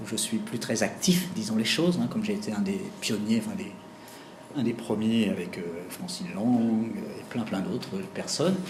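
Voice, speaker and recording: A man speaks at a fairly slow pace with very wide pitch swings. Audible room echo and noticeable background noise are present. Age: 60s. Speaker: executive coach. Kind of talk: lecture. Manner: halting.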